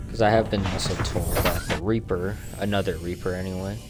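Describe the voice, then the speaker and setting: Music plays in the background and room echo is audible. A man speaks with a fairly low pitch. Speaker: gaming streamer. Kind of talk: gameplay commentary stream. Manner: slow; casual, chatty.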